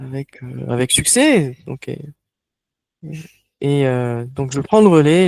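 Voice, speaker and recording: The man speaks at a very slow pace in a dry, close sound with no echo. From France, Toulouse. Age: 30s. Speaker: online workshop facilitator. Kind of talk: online workshop presentation. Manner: halting, many hesitations.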